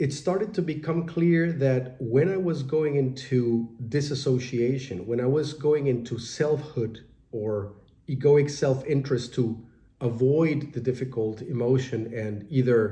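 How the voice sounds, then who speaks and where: In a room with audible echo, a somewhat breathy man of medium pitch speaks at a fairly slow pace with ordinary pitch variation. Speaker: meditation teacher and life coach. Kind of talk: spoken reflection on meditation. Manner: hesitant with many fillers.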